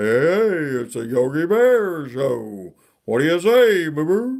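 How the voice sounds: A man puts on a character voice at a fairly high pitch. He swings his pitch very widely and talks at a fairly slow pace.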